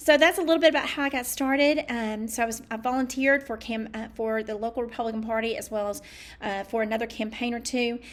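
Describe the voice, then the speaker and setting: Talking at a very fast pace, a woman uses a fairly high voice. Her pitch varies in an ordinary way. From US South, East Tennessee. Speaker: political candidate. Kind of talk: campaign talk to camera. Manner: halting, often tongue-tied.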